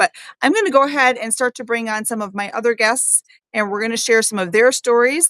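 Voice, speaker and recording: A woman's fairly high, bright, sharp voice at a fairly quick pace, with ordinary pitch variation and a dry, close sound with no echo. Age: 50s. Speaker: live stream host on metabolic health. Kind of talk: casual live chat interview. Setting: video call livestream. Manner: halting with fillers.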